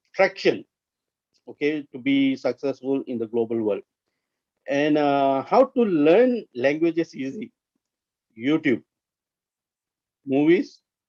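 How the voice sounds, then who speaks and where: In an Indian accent, the speaker goes at a very slow pace, with long, frequent pauses and lively intonation. The sound is dry and close, with no echo. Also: man. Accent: Indian English (Tamil). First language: Tamil. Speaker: corporate trainer. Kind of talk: interactive training webinar. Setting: online webinar.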